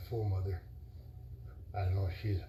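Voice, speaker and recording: A man mumbles with a very deep, low pitch and a dark, mellow, somewhat breathy tone. Audible room echo surrounds the voice. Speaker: vlogger. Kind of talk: casual monologue. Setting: live stream. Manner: mumbling; rambling, halting.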